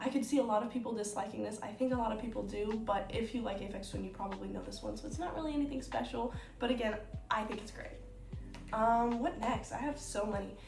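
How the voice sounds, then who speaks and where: Over noticeable background noise and audible room echo, a woman speaks at a very fast pace, her pitch fairly high with ordinary variation. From United States. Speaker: YouTuber. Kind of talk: casual chat. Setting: at home on her bed. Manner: casual, with many fillers.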